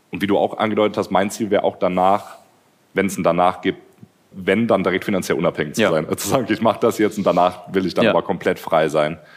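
A man's very deep, low voice at a very fast pace, with fairly even intonation. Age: 30s. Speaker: YouTuber. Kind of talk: casual chat.

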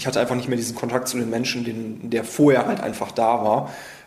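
A man's medium-pitched voice carries audible room echo and noticeable background noise. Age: 30s. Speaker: wine merchant. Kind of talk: interview.

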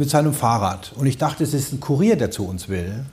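A dark, mellow tone, somewhat breathy. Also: man. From Palatinate, Germany. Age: 60s. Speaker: dubbing studio owner. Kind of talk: casual chat. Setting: studio.

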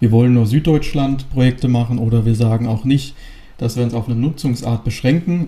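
A somewhat breathy male voice, dark and mellow in tone, at a moderate pace. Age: 20s. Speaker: real estate company director. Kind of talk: interview.

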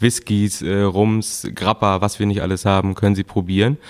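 A plain, everyday voice from a man, fairly low in pitch, with fairly even intonation. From northern Germany, Gülzow. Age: 20s. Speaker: shop co-owner. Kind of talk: casual interview.

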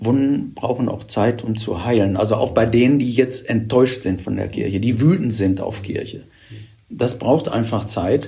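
Somewhat breathy and dark, mellow in tone, a man speaks at a medium pitch and moderate pace with ordinary pitch variation. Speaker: retired church official, former bishop's aide. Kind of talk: podcast interview.

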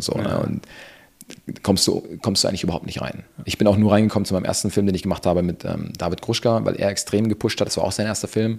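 The pitch of this man's voice is fairly low. He speaks very fast. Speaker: cinematographer. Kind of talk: casual interview chat. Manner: relaxed.

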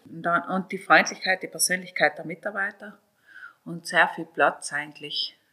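A bright, sharp voice with a South Tyrolean accent. It moves at a moderate pace with fairly even intonation. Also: woman. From South Tyrol, Italy. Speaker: hotelier. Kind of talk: interview.

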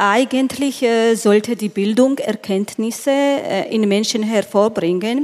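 Very slow speech from a woman, fairly high in pitch, its pitch varying in an ordinary way. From Georgia. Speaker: event moderator, journalist. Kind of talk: onstage interview. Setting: stage with audience. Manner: halting.

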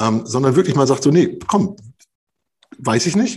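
A somewhat breathy man talks at a fairly quick pace, his pitch swinging very widely. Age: 40s. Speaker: leadership trainer and coach. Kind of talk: podcast interview.

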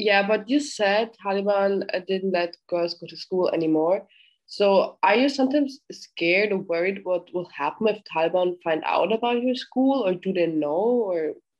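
The speaker has a German accent, a moderate pace and ordinary pitch variation. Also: woman, medium pitch for a woman. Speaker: podcast host. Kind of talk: interview.

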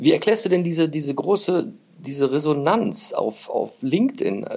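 A man speaks at a high pitch. His voice moves through very wide pitch swings. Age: 50s. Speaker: podcast host. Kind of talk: casual interview. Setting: guest's office.

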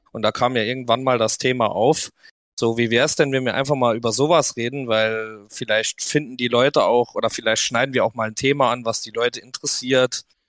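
At a fairly quick pace, a man talks at medium pitch with monotone, flat intonation. The sound is dry and close with no echo, and the recording is very clean with a silent background. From Saarland, Germany. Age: 20s. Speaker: podcast host, quad rider. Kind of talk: casual chat.

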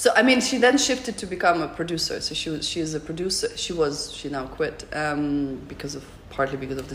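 A woman's very deep, low voice at a very fast pace, with very wide pitch swings, hardly any pauses, and audible room echo. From Russia, Moscow. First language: Russian. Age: 30s. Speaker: artist and photographer. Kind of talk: interview.

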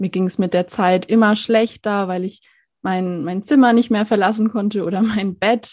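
A woman talks at a moderate pace in an unremarkable speaking voice, her pitch medium and her intonation fairly even. The recording is very clean, with a silent background. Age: 20s. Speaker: social worker and mental health advocate. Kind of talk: personal testimony in interview.

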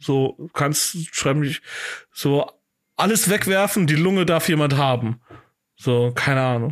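Very slow delivery with long, frequent pauses, ordinary pitch variation and very even loudness, in a dry, close sound with no echo. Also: man, fairly high pitch for a man. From Germany, Cologne (Deutz). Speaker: podcast host, comedian. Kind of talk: casual chat.

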